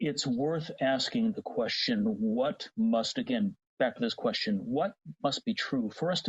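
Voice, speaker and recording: A man with a Cincinnati accent speaks at a moderate pace. His voice is somewhat breathy, with very wide pitch swings. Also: very even loudness. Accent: Cincinnati TV announcer American English. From US Midwest. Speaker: voice technology industry advocate. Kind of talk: podcast interview.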